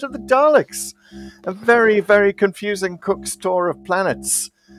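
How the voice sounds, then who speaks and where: A man with a British accent talks at a moderate pace in a high pitch. Music plays in the background, and the sound is dry and close with no echo. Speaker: podcast co-host. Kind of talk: casual chat. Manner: hesitant fillers.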